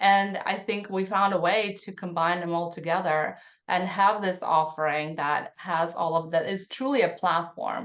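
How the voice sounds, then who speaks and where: A woman with a Russian accent, fairly low in pitch, at a moderate pace with fairly even intonation and hardly any pauses, against a quiet background. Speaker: tech founder. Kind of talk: podcast interview. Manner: halting.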